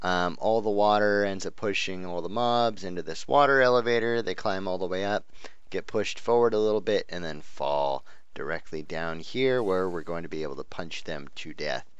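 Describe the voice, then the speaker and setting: A man speaks at a moderate pace with ordinary pitch variation, and the room echo is audible. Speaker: gaming youtuber. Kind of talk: gameplay commentary. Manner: hesitant, many fillers.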